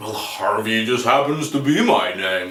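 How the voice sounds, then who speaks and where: A man uses a put-on character voice. His pitch is medium and his pace moderate. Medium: solo performance. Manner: courteous, gentle.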